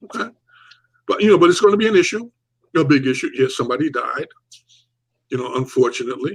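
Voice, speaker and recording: Talking at a very fast pace, a man leaves long, frequent pauses. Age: 70s. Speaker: talk show host. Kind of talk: casual discussion. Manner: animated.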